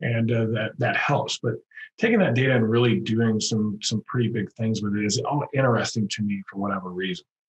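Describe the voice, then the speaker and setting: A somewhat breathy man's voice at medium pitch with an American accent, ordinary pitch variation and a moderate pace. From Texas, Houston. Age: 50s. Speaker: contractor business coach. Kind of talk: podcast interview.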